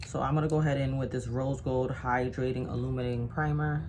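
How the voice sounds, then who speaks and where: A woman talks at a very fast pace. Audible room echo and noticeable background noise fill the recording. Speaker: makeup artist. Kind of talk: tutorial.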